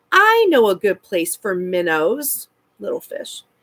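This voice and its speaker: Using a put-on character voice, a woman speaks at a fairly high pitch and a fairly slow pace. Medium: read story. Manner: polite, old-fashioned.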